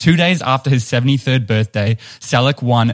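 A man with a New Zealand accent, medium in pitch, with ordinary pitch variation at a moderate pace. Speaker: podcast co-host.

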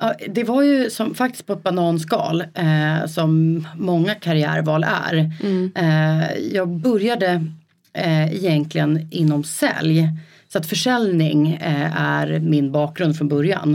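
Very deep and low in pitch, a woman speaks at a very slow pace with very even loudness and ordinary pitch variation. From rural Sweden, Rö. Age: 30s. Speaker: entrepreneur. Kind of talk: casual interview. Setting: studio, coworking space.

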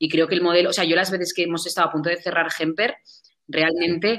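Talking at a very fast pace, a woman with a fairly low pitch and a bright, sharp tone keeps her intonation fairly even. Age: 20s. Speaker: social entrepreneur. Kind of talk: interview. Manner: fast, with many fillers.

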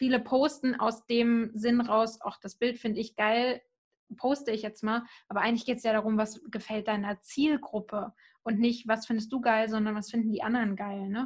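A woman with a fairly high, somewhat breathy voice speaks at a moderate pace in a monotone, flat way. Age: 20s. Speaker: social media marketer. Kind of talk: casual chat.

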